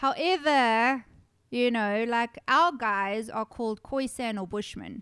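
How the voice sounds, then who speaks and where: A woman with a fairly high pitch and ordinary pitch variation speaks at a very slow pace. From South Africa. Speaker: horror podcast host. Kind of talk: casual chat. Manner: animated.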